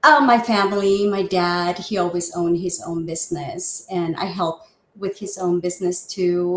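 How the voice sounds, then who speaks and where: In a Spanish accent, a woman talks at a fairly low pitch with fairly even intonation. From Mexico (Guadalajara), moved to Seattle area in high school. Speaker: real estate agent. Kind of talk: interview.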